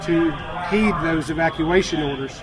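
A man speaks at a fairly high pitch while noticeable background noise is heard around him. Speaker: emergency official. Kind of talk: emergency briefing with evacuation appeal. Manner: earnest, somewhat halting with fillers, pleading tone.

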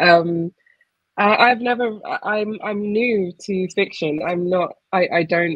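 A woman with a southern English accent, medium pitch, ordinary pitch variation and a very slow pace, in a dry sound with no echo over a quiet background. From Essex, England; England. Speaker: poet. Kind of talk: casual conversation; reading aloud. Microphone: video call.

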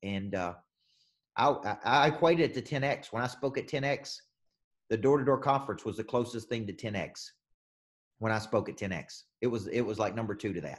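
Against a quiet background, a man at a medium pitch speaks at a moderate pace with ordinary pitch variation and long, frequent pauses. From US South. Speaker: business coach. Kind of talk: coaching session. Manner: animated. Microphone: video call.

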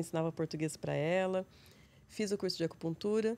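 With a Paulista interior accent, a woman speaks at a fairly quick pace in a calm tone, her voice dark and mellow. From interior of São Paulo state, Brazil (São José do Rio Preto); São Paulo state, Brazil. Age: 40s. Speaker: psychologist; guest. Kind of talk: interview; interview answer. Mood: calm, reflective. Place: studio. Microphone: studio mic.

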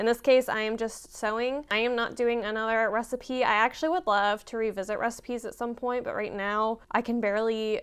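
A woman talks at a fairly quick pace with hardly any pauses. Her intonation stays fairly even, and the background is quiet. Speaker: sewing vlogger. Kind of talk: casual vlog chat. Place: home room.

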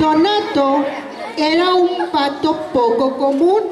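Amid audible room echo and faint crowd noise in the background, a woman speaks at a very slow pace with a high pitch and a slightly mellow tone.

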